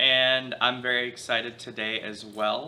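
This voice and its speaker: There is noticeable background noise behind a man speaking. His intonation is fairly even. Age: 20s. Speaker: grandson interviewer. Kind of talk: family oral history interview.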